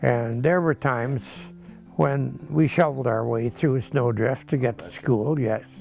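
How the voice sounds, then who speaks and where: A man with an American accent at a medium pitch, music in the background. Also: ordinary pitch variation, fairly slow pace. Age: 80s+. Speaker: farmer. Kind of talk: interview answer.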